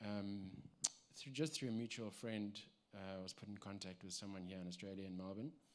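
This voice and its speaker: A man speaks with a South African accent. His pitch is fairly low. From South Africa, Cape Town. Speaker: church member giving testimony. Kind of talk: testimony. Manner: halting, many fillers.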